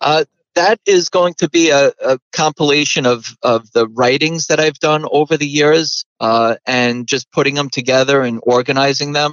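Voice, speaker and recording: A plain, everyday voice from a man, fairly high in pitch, at a moderate pace with fairly even intonation and hardly any pauses. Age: 40s. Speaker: inventor and inventor coach. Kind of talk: interview.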